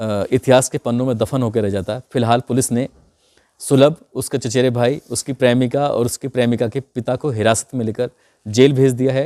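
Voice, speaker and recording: On a very clean recording with a silent background, a man talks in a dark, mellow tone with fairly even intonation. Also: medium pitch for a man, fairly slow pace, dry, close sound with no echo. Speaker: crime storyteller. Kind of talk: storytelling narration.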